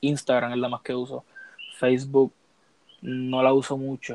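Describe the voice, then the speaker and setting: A man speaks with a Puerto Rican accent. The sound is dry and close, with no echo. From Puerto Rico. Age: 20s. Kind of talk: casual chat.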